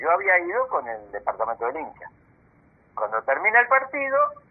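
His pitch rises and falls across a very wide range. The speaker is a man. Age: 70s. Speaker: football club photographer. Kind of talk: casual interview.

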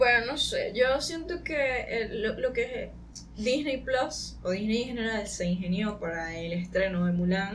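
Fairly high-pitched woman's voice with lively intonation at a fairly slow pace, amid audible room echo and noticeable background noise. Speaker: podcast co-host. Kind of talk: casual chat.

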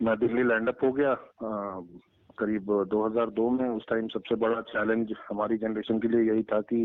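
A man at a medium pitch, with monotone, flat intonation and very even loudness. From eastern Uttar Pradesh (Ballia). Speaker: organic farmer and pizza entrepreneur. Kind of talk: interview.

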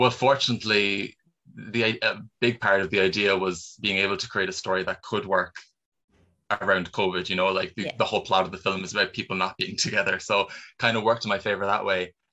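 A man with a Cork accent, fairly low in pitch, fairly quick in pace, with fairly even intonation. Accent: Cork Irish. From Ireland, Cork. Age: 20s. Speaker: filmmaker and actor. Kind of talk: interview.

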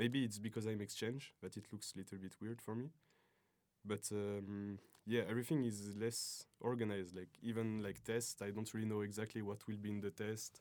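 At a moderate pace, a man speaks with fairly low pitch and fairly even intonation on a very clean recording with a silent background. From French-speaking Switzerland (Lausanne area). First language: French (speaking Russian). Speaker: exchange student. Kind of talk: interview.

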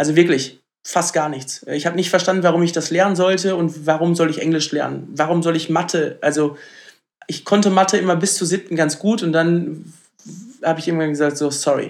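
High male voice, fairly quick pace and fairly even intonation. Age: 30s. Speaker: startup founder. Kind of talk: podcast interview.

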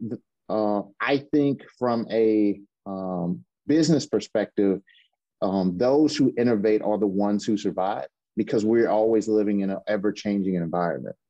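A man talks in an ordinary speaking voice at a fairly low pitch, moderate pace and ordinary pitch variation. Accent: American. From US South, Mississippi. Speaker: hospital IT supervisor. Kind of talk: interview conversation.

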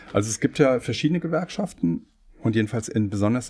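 At a very fast pace, a man speaks in a dark, mellow tone on a very clean recording with a silent background. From Germany, Hesse (Wiesbaden). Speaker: law professor. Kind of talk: casual chat. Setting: studio.

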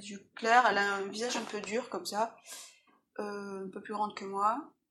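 Speaking at a fairly quick pace, a woman talks with a medium pitch. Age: 40s. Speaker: illustrator. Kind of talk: personal testimony interview. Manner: halting.

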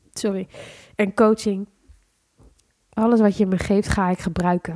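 A woman's medium-pitched voice with a dark, mellow tone and a dry, close sound with no echo. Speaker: business coach and podcast host. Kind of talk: solo podcast monologue. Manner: unscripted, conversational.

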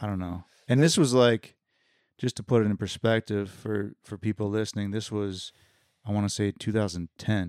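He is a man with an unremarkable speaking voice, a fairly low pitch, fairly even intonation and a moderate pace. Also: very clean recording, silent background. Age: 30s. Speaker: roommate of the host. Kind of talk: casual chat.

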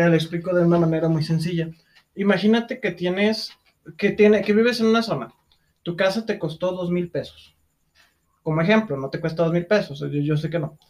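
A man with a Mexican accent speaks at a fairly quick pace in a high pitch, with ordinary pitch variation and long, frequent pauses. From Mexico. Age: 20s. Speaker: podcast co-host. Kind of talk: casual chat.

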